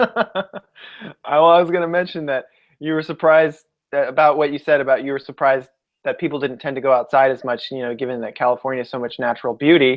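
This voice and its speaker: This man speaks very rapidly. His pitch moves in an ordinary way. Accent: American. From US West Coast, San Francisco Bay Area. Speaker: podcast co-host. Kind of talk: casual chat. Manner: halting, many repeated words.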